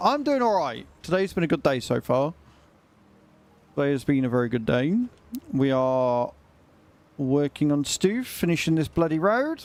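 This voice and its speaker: A man speaks at a moderate pace with a British accent and lively intonation. He leaves long, frequent pauses. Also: fairly high pitch for a man. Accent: British, drops t sounds. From Britain. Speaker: gaming streamer. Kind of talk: casual livestream gameplay chat.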